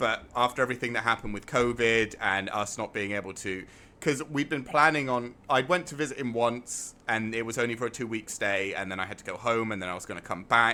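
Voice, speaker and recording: In an English accent, a man talks fairly quickly with hardly any pauses, medium pitch and ordinary pitch variation. His tone is bright and sharp, on a very clean recording with a silent background. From England. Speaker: gaming streamer. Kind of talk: live gameplay stream chat.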